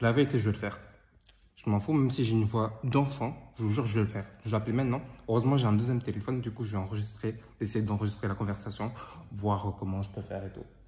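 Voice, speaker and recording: Somewhat breathy, a man speaks very fast at a fairly low pitch with fairly even intonation. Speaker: online business vlogger. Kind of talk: vlog narration. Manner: casual, informal.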